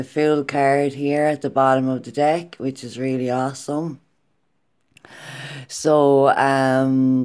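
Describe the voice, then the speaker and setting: Very slow, monotone, flat speech with long, frequent pauses, on a very clean recording with a silent background. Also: woman, very deep, low pitch for a woman. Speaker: tarot reader. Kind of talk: tarot reading. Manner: casual, chatty.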